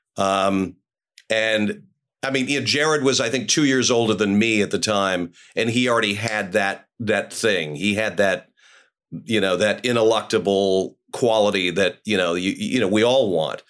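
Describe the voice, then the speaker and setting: A man with an American accent, fairly low-pitched, with ordinary pitch variation, very even loudness and a moderate pace, on a very clean recording with a silent background. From New York City. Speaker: character actor. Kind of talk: casual chat. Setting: podcast interview. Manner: halting, many fillers and repeats.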